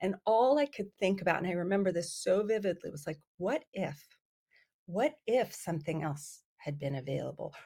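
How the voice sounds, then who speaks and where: A woman's dark, mellow, somewhat breathy voice with very wide pitch swings. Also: medium pitch for a woman, moderate pace. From US, Iranian immigrant family, raised bilingual. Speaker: psychiatry professor and researcher. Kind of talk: podcast interview.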